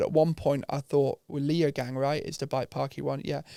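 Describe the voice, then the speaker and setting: A fairly quick, fairly high-pitched man with a British accent in a monotone, flat intonation, dry and close with no echo on a very clean, silent recording. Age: 30s. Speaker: mountain bike business founder. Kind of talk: casual chat.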